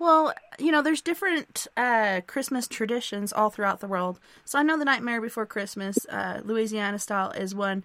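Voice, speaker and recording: A woman's bright, sharp tone at a fairly high pitch and moderate pace, dry and close with no echo, on a very clean recording with a silent background. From Arkansas. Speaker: radio show host. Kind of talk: casual radio chat. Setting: live internet radio show.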